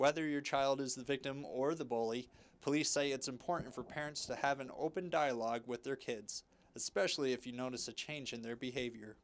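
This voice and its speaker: At a fairly quick pace, a man with a medium pitch and an American accent speaks with fairly even intonation. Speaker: news reporter. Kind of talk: TV news report voice-over.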